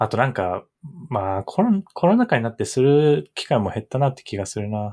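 With a dark, mellow tone at a medium pitch, a man talks at a fairly quick pace with very wide pitch swings, in a dry, close sound with no echo. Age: 30s. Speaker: podcast co-host. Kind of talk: casual chat.

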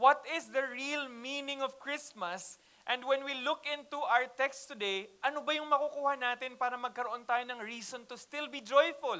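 A man speaks at a moderate pace in a raised, projected voice, his pitch extremely high and his intonation fairly even, with hardly any pauses. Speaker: pastor. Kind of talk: sermon. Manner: casual Taglish.

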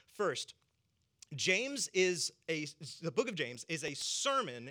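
This voice has a Southern US accent. Its tone is bright and sharp. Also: man, very clean recording, silent background. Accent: Southern American. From US South. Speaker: pastor. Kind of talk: sermon.

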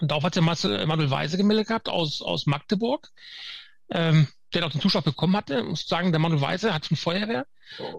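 A man talks at a fairly quick pace with a fairly high pitch. His voice has vocal fry and ordinary pitch variation. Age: 50s. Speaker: firefighter trainer. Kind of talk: interview. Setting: video call.

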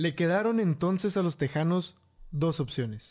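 The recording is very clean, with a silent background, as a man speaks at a moderate pace. His tone is dark and mellow, and his pitch varies in an ordinary way. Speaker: history podcast co-host. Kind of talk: casual chat.

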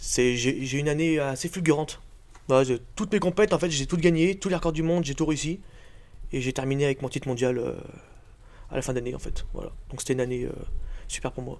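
This man talks at a fairly quick pace with a fairly high pitch and ordinary pitch variation, leaving long, frequent pauses. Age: 20s. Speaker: strongman athlete. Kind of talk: casual interview.

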